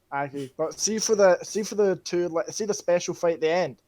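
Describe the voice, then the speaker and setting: Speaking at a fairly quick pace, this man has a high voice. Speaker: gaming video co-host. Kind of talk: casual debate. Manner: stutters at times.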